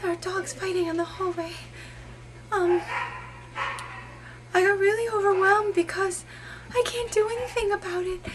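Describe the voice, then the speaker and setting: A put-on character voice from a woman, breathy and extremely high-pitched, at a moderate pace with fairly even intonation, long, frequent pauses and clear background noise. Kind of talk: improvised character monologue. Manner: hesitant, earnest.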